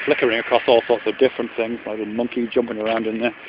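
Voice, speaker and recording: The sound is dry, with no echo at all. Noticeable background noise accompanies a man's speech. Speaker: vlogger. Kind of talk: reflective philosophical monologue. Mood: calm, thoughtful. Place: open country. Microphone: phone near.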